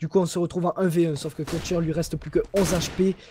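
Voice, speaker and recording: A man with a high voice talks very fast over noticeable background noise. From Toulouse, southern France. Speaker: esports caster. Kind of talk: live commentary. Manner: animated.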